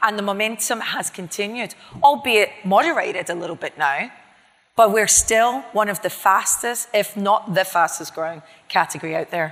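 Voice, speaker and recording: A woman with a Scottish accent speaks in an animated tone at a medium pitch and a moderate pace. Her intonation is lively, with big swings in loudness. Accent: non-Miami accent (Scottish). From Scotland. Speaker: chief marketing officer. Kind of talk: interview on stage.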